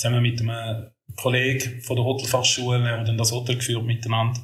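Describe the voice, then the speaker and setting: A somewhat breathy male voice at a medium pitch. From Switzerland, Schaffhausen. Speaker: podcast co-host. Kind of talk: casual chat.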